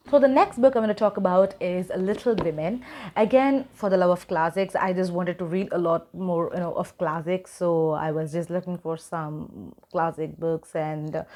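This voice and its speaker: In a non-native accent, a woman talks at a medium pitch. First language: not English. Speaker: book YouTuber. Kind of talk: casual vlog talk. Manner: hesitant with many fillers.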